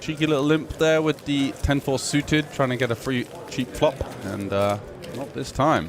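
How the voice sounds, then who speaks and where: Male speech with ordinary pitch variation, moderately paced, amid noticeable background noise. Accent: English. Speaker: poker commentator. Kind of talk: live commentary.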